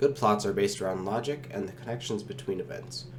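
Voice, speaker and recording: A man rattles along at a very fast pace, his pitch varying in an ordinary way, with music in the background. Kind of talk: explainer talk on film.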